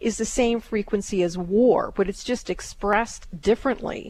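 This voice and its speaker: This woman has a normal speaking voice with fairly high pitch. She talks at a moderate pace. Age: 60s. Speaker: psychic radio host. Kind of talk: live call-in reading.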